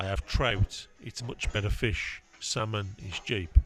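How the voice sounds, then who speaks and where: In a gruff, put-on character voice, a man mumbles at a fairly low pitch and fairly slow pace, his loudness swinging widely in a dry, close sound with no echo. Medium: audio drama. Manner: gruff, curt, mumbling.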